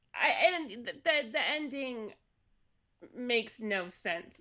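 A woman's bright, sharp voice, fairly high in pitch, with lively intonation. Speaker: podcast co-host. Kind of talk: casual chat. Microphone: new mic.

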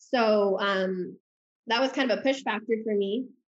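A woman with a Midwestern accent speaks at medium pitch with ordinary pitch variation. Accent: American Midwest. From US Midwest, Omaha, Nebraska. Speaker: YouTuber and influencer. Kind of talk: interview.

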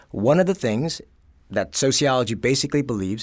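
In a very clean recording with a silent background, a man speaks with an American accent at a medium pitch. His intonation is lively, and there is vocal fry in his voice. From New York, Bronx. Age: 30s. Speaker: sociologist. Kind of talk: casual interview.

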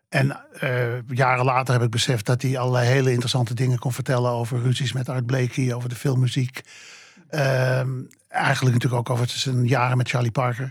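A somewhat breathy man talks at a fairly quick pace in a medium pitch, his intonation monotone and flat. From Amsterdam, Netherlands. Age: 80s+. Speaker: jazz journalist. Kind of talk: interview. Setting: studio.

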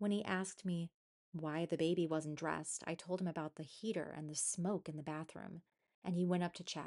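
A normal speaking voice: a woman talking at a moderate pace, fairly low in pitch. Her intonation is fairly even against a quiet background. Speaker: podcast host. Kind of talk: ghost story telling, reading Reddit stories aloud.

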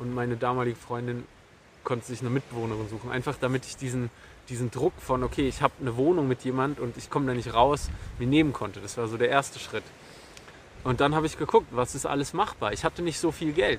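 Very fast speech from a man, medium in pitch and with ordinary pitch variation. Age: 30s. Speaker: podcast host. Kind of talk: solo monologue. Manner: halting.

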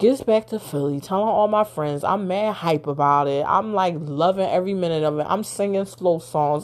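A woman's animated, medium-pitched voice at a moderate pace, with ordinary pitch variation. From Philadelphia, US. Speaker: podcast host. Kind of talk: casual storytelling monologue.

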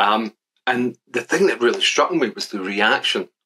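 A man with a Glaswegian accent at a moderate pace. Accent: Glaswegian Scottish. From Scotland, Glasgow. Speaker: statistics professor. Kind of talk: casual interview. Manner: halting, many repetitions.

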